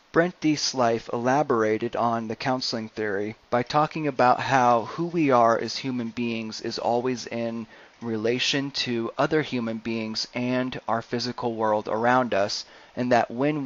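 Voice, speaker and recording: A man's ordinary speaking voice at medium pitch, moderate pace and fairly even intonation, with hardly any pauses. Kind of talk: educational presentation narration.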